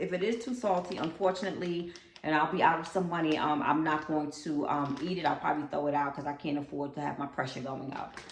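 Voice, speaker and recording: A woman with a very deep, low pitch talks at a very fast pace with hardly any pauses and ordinary pitch variation, over noticeable background noise. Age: 50s. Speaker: lifestyle vlogger. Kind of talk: casual talk to camera.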